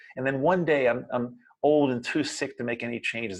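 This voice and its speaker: Fairly quick and animated, a man with an American accent speaks at a fairly high pitch with vocal fry. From US Mid-Atlantic, Baltimore, Maryland. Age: 60s. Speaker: RV travel vlogger. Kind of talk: motivational vlog monologue.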